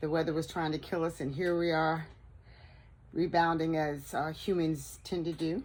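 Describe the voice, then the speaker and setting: The recording is very clean, with a silent background. A woman speaks at a moderate pace and a fairly low pitch. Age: 60s. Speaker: vlogger. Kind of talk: casual chat. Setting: outdoors.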